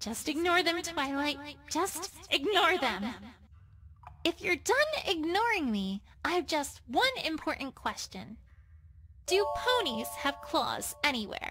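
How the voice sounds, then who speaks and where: Using a put-on character voice, a woman speaks at a high pitch and a fairly slow pace, with long, frequent pauses. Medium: solo performance. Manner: earnest, argumentative.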